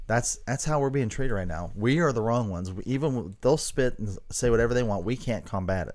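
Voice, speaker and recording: With hardly any pauses, a man of medium pitch speaks at a fairly quick pace with lively intonation in an unremarkable speaking voice. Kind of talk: casual chat.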